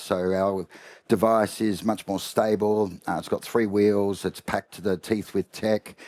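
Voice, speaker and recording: Flat, monotone speech from a man with an Australian accent, fairly low in pitch, at a moderate pace, on a very clean recording with a silent background. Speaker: company executive, panelist. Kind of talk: panel discussion.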